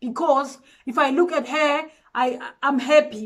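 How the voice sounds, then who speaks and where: A woman speaks with a high pitch. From South Africa. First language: a South African language, not English. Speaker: guest speaker. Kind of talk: motivational talk. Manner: earnest, emphatic.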